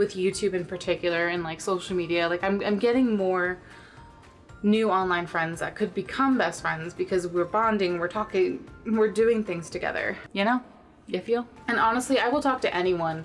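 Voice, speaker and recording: A woman talks at a moderate pace with ordinary pitch variation while faint music plays in the background. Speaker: vlogger. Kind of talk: casual vlog chat. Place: home room. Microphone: camera far.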